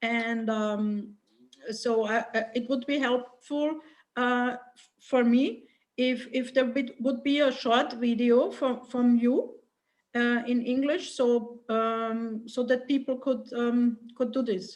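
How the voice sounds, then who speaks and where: A woman with a non-native accent speaks very slowly in a high voice with flat, monotone intonation. Her loudness swings widely. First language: not English. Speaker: workshop participant. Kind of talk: group discussion. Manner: halting.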